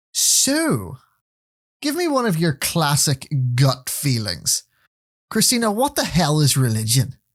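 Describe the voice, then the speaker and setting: A man in a Northern Irish accent speaks fairly slowly with very even loudness and long, frequent pauses. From Northern Ireland. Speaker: podcast co-host. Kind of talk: casual chat.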